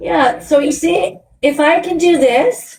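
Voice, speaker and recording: The woman speaking has a high pitch. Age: 60s. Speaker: vegan activist livestreamer. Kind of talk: live stream chat with caller. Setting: hotel room. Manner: animated.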